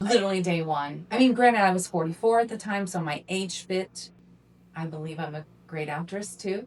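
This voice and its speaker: Talking at a fairly quick pace in a plain, everyday voice, the speaker shows ordinary pitch variation and big swings in loudness. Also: woman, medium pitch for a woman. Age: 50s. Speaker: adult film performer and podcast co-host. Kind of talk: casual chat.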